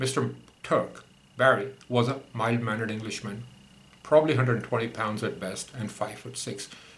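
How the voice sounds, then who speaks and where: In audible room echo, a man speaks with fairly even intonation. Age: 60s. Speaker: podcaster recounting personal grievances. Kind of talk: memoir narration.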